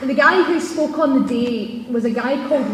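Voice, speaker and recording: Amid noticeable background noise and audible room echo, a woman speaks with a Scottish accent. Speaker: TV presenter. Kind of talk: speech. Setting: stage with audience. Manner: loud; fast.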